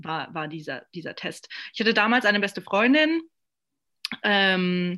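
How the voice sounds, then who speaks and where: Against a quiet background, a woman speaks at a medium pitch in a bright, sharp tone. Her pace is fairly slow. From Saarland, Germany. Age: 20s. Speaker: podcast host. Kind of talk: casual chat.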